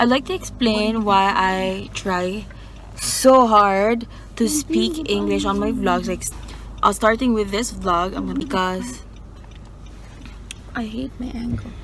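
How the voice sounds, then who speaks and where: With a Visayan Filipino accent, a woman speaks at a very slow pace with long, frequent pauses, and audible room echo surrounds her voice. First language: Bisaya (Cebuano). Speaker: vlogger. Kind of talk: casual vlog talk. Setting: in a car.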